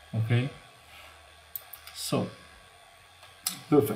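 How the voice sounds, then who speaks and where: Through noticeable background noise, a man at medium pitch talks at a very slow pace with fairly even intonation. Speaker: cybersecurity tutorial youtuber. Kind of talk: tutorial.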